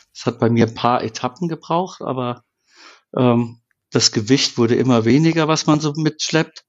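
In a normal speaking voice, a man talks at a moderate pace and medium pitch with ordinary pitch variation and big swings in loudness. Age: 50s. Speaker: camper van builder. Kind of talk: casual chat.

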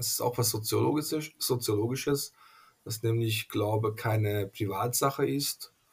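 Speaking with a Hungarian accent, a man talks at a very slow pace in a somewhat breathy voice. His pitch is medium, with ordinary variation. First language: Hungarian (speaking German). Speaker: pastor. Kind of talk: interview. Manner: halting, many fillers.

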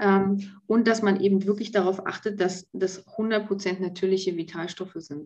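This woman has an unremarkable speaking voice at a medium pitch. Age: 40s. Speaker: pharmacy technician. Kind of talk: casual interview.

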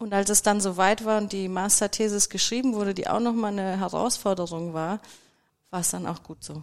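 With a plain, everyday voice, a woman talks at a fairly quick pace and medium pitch with fairly even intonation. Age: 30s. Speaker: fire safety engineer. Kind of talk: casual chat.

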